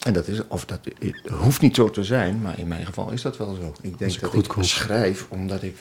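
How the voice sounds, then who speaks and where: Noticeable background noise sits behind a man speaking at a moderate pace. His pitch is fairly low, with ordinary variation. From Twente, eastern Netherlands. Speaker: essayist and columnist. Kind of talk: casual chat. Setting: outdoors on a bench.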